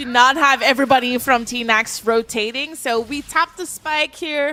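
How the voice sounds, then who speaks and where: A raised, projected voice with a bright, sharp tone, big swings in loudness, moderate pace and ordinary pitch variation. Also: woman, high pitch for a woman. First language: French. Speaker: esports caster. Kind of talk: live commentary.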